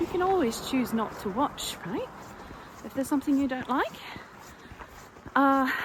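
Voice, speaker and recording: Noticeable background noise surrounds a woman with a high pitch. She speaks with lively intonation and long, frequent pauses. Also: moderate pace. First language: not English. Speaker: sewing vlogger. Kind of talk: casual chat. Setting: outdoors. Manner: hesitant, with fillers.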